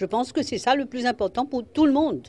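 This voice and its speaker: A woman's high-pitched voice over music in the background. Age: 70s. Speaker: parliamentary speaker and lawyer. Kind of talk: news interview.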